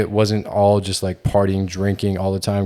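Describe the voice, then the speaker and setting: Talking at a fairly quick pace, a man with an American accent has a fairly low pitch. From Georgia, US South. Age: 20s. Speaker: fitness content creator and podcast co-host. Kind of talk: casual chat.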